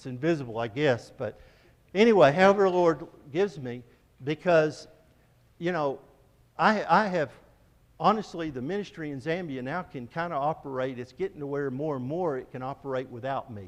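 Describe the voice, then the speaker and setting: Lively intonation from a man at a fairly high pitch, at a moderate pace with long, frequent pauses. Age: 60s. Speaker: missionary. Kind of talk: church presentation.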